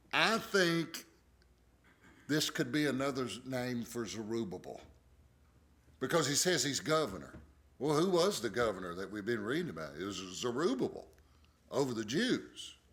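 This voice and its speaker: An American man with a medium pitch and vocal fry makes very wide pitch swings. He leaves long, frequent pauses. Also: moderate pace. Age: 60s. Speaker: pastor. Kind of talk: bible study teaching. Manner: casual, conversational.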